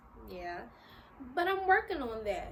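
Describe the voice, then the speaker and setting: A woman talks in an animated tone. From US, Philadelphia (North Philly). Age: 20s. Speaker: YouTuber. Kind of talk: casual vlog talk to camera. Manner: casual, animated.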